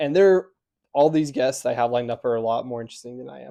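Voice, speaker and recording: A medium-pitched man with an American accent and a dark, mellow tone, at a fairly quick pace against a quiet background. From Utah, US. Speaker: podcast host. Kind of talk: solo podcast monologue. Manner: soft-spoken; hesitant, many filler ums.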